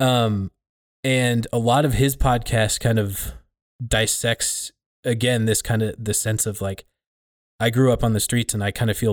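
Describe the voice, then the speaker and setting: Against a silent background on a very clean recording, a man speaks at a fairly slow pace in a medium pitch with monotone, flat intonation. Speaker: podcast host. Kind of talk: casual conversation.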